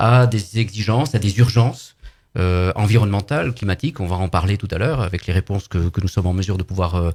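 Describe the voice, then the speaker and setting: A somewhat breathy man's voice, dark and mellow in tone, with ordinary pitch variation and a very clean recording on a silent background. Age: 60s. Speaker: political activist. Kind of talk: live radio interview. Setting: studio.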